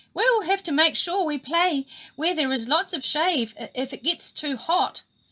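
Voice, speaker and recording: A squeaky, put-on character voice with lively intonation at a moderate pace. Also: woman, extremely high pitch for a woman. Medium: read story.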